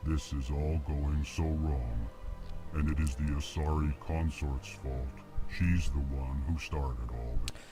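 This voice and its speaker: A man puts on a character voice at a fairly slow pace. Clear music plays in the background. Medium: video game. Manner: formal, stiff.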